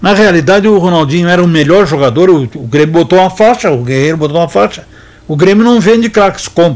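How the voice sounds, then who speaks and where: Lively intonation runs through a man's high-pitched voice. He talks at a very fast pace. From Rio Grande do Sul, Brazil. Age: 70s. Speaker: sports radio host and veteran football journalist. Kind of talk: football memories storytelling. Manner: halting, many repetitions and fillers.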